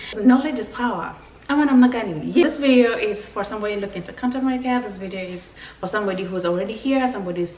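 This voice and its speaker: A woman with a Kenyan accent speaks in an animated tone, her medium-pitched voice full of lively intonation. Noticeable background noise and audible room echo surround her. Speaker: vlogger. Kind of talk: casual vlog talk to camera.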